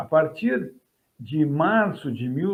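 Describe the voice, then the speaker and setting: With lively intonation and a fairly high pitch, the man uses a plain, everyday voice. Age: 60s. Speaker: history professor. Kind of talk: interview. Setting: at home, video call.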